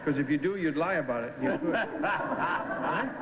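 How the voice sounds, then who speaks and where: A playful tone with ordinary pitch variation amid noticeable background noise. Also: man. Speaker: game show panelist. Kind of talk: game show panelist questioning contestants. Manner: playful, joking. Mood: playful, joking. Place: studio.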